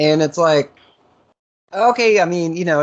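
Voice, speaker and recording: With an American accent, a man speaks over a quiet background. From US Northeast, Massachusetts. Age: 30s. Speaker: interviewer. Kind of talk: interview.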